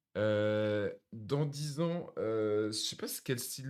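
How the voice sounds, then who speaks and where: This voice belongs to a man. His pitch moves up and down in an ordinary way. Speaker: music reaction streamer. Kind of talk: music album reaction. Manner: calm; halting, many fillers.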